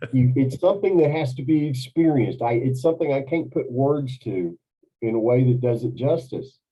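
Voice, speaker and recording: At a fairly quick pace, a man speaks at a medium pitch with ordinary pitch variation. His voice is somewhat breathy. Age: 60s. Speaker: carnivore diet coach. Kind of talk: interview testimony. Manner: animated.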